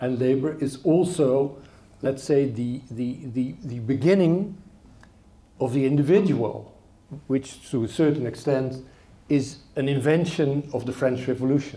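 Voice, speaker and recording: A man with a Dutch accent talks at a fairly slow pace, his somewhat breathy voice dark and mellow in tone, with ordinary pitch variation. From Netherlands. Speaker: political commentator and moderator; political commentator, moderator. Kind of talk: lecture introduction and moderated discussion. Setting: stage with audience. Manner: halting. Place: hall. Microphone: handheld.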